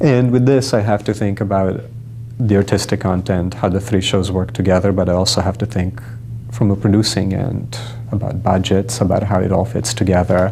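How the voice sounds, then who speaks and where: Over noticeable background noise, a man with a fairly low pitch speaks at a very even loudness with fairly even intonation. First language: not English. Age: young. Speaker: stage director. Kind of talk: interview.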